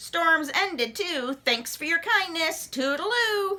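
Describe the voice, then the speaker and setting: Using a put-on character voice, a woman speaks at a fairly slow pace with extremely high pitch. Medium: read story. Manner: clipped, chummy phrases.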